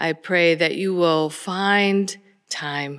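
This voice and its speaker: A woman speaks at a fairly low pitch with ordinary pitch variation against a quiet background. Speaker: church minister. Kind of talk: worship welcome and announcements. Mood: warm, gentle, pastoral. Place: church. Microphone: podium.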